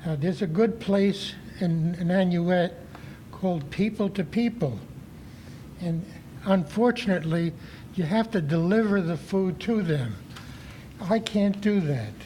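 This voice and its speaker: A man's high-pitched voice with ordinary pitch variation, a fairly slow pace, and long, frequent pauses. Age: 80s+. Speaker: resident speaking at public comment. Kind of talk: public comment at town board meeting. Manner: halting, with many fillers.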